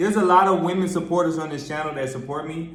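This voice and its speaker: A man with a high-pitched voice speaks in an animated tone over noticeable background noise, with audible echo from the room. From US Midwest. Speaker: vlogger. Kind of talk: casual vlog talk to camera.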